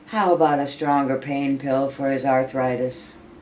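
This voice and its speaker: Over noticeable background noise, a woman talks at a fairly slow pace in a very deep, low pitch. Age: 80s+. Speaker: elderly poet. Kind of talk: reading aloud.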